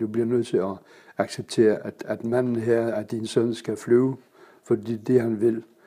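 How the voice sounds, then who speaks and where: At a moderate pace, a man talks in a dark, mellow tone with a medium pitch and fairly even intonation. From Germany (Kiel). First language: German (speaking Danish). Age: 70s. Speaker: pilot and public speaker. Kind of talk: casual interview. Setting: club room. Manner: hesitant, many fillers.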